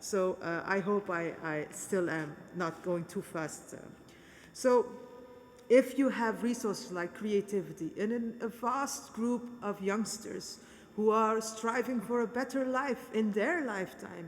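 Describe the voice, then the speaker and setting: Fairly high-pitched woman's voice, a plain, everyday voice, fairly slow in pace with ordinary pitch variation. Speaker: politician. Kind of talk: speech at a peace conference. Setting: conference in a cathedral.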